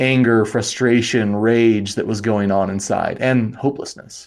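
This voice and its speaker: A man with an American accent talks at medium pitch in a dark, mellow tone with fairly even intonation. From Wyoming, US. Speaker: life coach and therapist. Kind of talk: casual interview.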